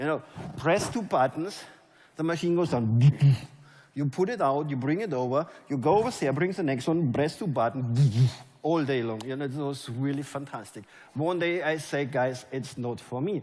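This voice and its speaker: A man speaks at a moderate pace in a fairly high pitch, his tone animated and his pitch variation ordinary. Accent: German. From Germany. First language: German. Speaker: network marketing leader. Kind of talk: motivational speech. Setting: stage with audience.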